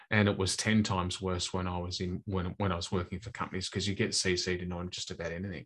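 A man with an Australian accent and a very deep, low pitch, talking at a very fast pace with hardly any pauses in a monotone, flat intonation over a quiet background. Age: 50s. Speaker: sales trainer. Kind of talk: interview. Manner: halting, frequent repetitions.

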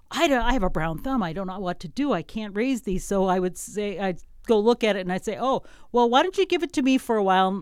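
A woman with a normal speaking voice talks at a fairly quick pace and medium pitch, her intonation lively, on a very clean recording with a silent background. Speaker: radio station operations director and radio host. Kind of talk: casual interview. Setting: radio studio.

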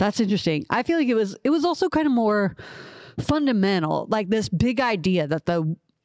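A woman talks with lively intonation and a slight Southern US accent. Her voice sounds dry and close with no echo, over a quiet background. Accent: slight Southern drawl picked up. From Ohio (Columbus). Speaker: podcast co-host. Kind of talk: casual chat about the Bible.

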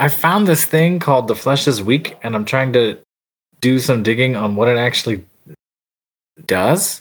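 With an American accent, a man talks at a moderate pace and medium pitch, using lively intonation. He leaves long, frequent pauses. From California. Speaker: theater teacher. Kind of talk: tabletop role-play session.

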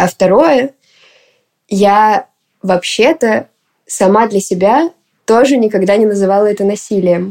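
Long, frequent pauses break up the speech, which moves at a fairly slow pace. The pitch varies in an ordinary way. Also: woman, medium pitch for a woman. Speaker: poet and activist. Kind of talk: interview testimony.

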